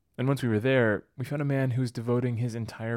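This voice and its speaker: A man's very fast speech, very clean recording, silent background. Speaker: podcast host and producer. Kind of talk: scripted narration.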